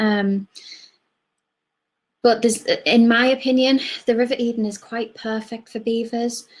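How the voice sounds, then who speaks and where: A somewhat breathy woman's voice with a fairly high pitch, a moderate pace and a slight Cumbrian accent. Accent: slight Cumbrian twang. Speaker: wildlife project officer. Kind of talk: online talk Q&A. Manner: casual, chatty.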